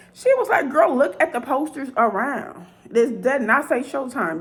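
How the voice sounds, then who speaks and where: With an American accent and a high pitch, a woman speaks at a fairly slow pace in an animated tone with lively intonation, over noticeable background noise. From Chicago, west side. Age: 40s. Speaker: vlogger. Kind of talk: storytelling monologue.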